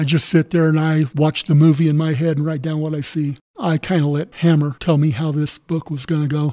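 A man with a Western US accent speaks fairly quickly, with hardly any pauses. His fairly high voice is monotone and flat, and the sound is dry and close with no echo. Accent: American (Western US). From southern Colorado. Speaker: author and welder, navy veteran. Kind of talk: interview.

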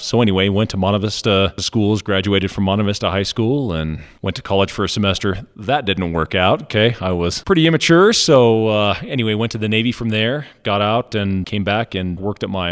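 Delivered with an American accent, the speech runs at a fairly quick pace with hardly any pauses and ordinary pitch variation. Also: man, fairly low pitch for a man. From Colorado, San Luis Valley. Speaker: business owner. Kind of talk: interview.

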